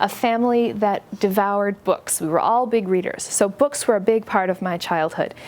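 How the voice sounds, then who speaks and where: With an American accent, a woman talks at a moderate pace in a fairly high voice with ordinary pitch variation, and noticeable background noise can be heard. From US, western New York State. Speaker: book author. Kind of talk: talk to an audience. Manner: conversational, friendly.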